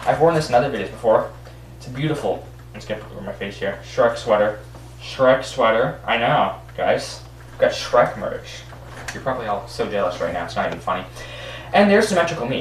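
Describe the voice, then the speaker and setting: A man with a Canadian accent at a fairly quick pace, with audible room echo and light background noise. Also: big swings in loudness. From Canada. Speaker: YouTuber. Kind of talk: casual screen-recording commentary. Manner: animated; halting, with frequent repeats and fillers. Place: home room. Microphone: webcam.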